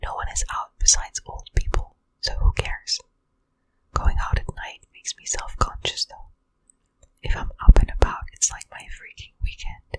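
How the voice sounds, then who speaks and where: A woman whispers at a moderate pace. Her loudness swings a lot. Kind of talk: ASMR whispered reading of Reddit answers. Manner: whispered, soft.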